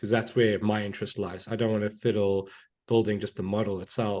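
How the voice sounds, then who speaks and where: A man speaks against a quiet background. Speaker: data engineering and AI consultant. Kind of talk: podcast interview. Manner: fast; hesitant, many fillers.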